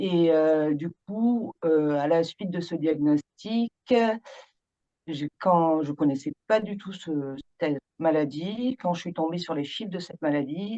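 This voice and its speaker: A woman's dark, mellow tone comes across dry and close, with no echo. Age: 40s. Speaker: patient association founder. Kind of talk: interview.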